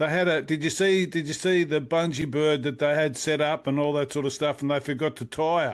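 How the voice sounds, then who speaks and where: A fairly high-pitched man at a fairly quick pace, with fairly even intonation over a quiet background. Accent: Australian. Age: 60s. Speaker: music interviewer. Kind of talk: casual interview. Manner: halting.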